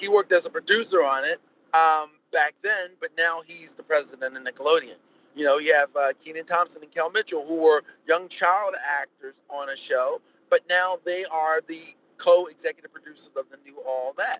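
Speaking with an American accent, a man with a high voice keeps a moderate pace and fairly even intonation while his loudness swings widely. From Baltimore, US. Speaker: TV host and producer. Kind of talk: casual chat. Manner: halting.

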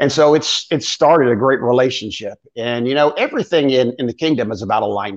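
Against a quiet background, a man with an unremarkable speaking voice and an American accent talks at a fairly quick pace, his medium pitch showing ordinary variation. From Florida. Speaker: pastor. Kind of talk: casual ministry interview.

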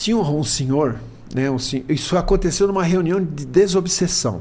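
A man's somewhat breathy voice with a dark, mellow tone, lively intonation and audible room echo. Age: 70s. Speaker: spiritist speaker. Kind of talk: casual chat.

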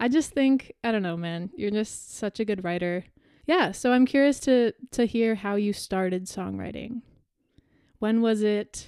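Here a woman speaks with a Canadian accent and a fairly high pitch. Her tone is dark and mellow. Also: ordinary pitch variation. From Canada. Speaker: podcast host and musician. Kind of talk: interview. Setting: video call.

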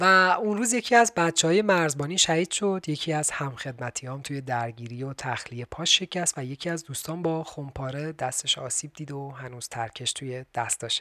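A man with a plain, everyday voice, a fairly high pitch, lively intonation, big swings in loudness, a fairly quick pace, and hardly any pauses. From Iran. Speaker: podcast host doing military service. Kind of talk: scripted narration; casual chat.

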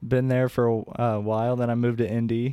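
A man's dark, mellow voice at medium pitch with an American accent, flat and monotone, at a moderate pace. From Indiana, US Midwest. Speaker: band musician. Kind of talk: casual chat.

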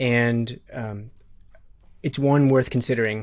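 In a very clean recording with a silent background, a man with an American accent speaks at a medium pitch in a monotone, flat delivery. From US Midwest. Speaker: e-commerce customer service company founder. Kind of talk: interview.

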